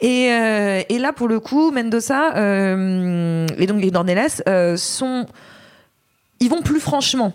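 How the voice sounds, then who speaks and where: A woman speaks very slowly at a fairly high pitch with lively intonation. Her loudness stays very even. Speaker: film critic. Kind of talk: casual film review discussion. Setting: on location at a film festival.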